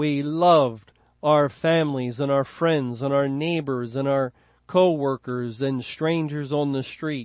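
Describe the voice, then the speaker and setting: A man with a normal speaking voice, fairly high pitch, fairly even intonation and a fairly slow pace. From Philadelphia, US. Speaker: Bible teacher. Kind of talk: Bible study lecture.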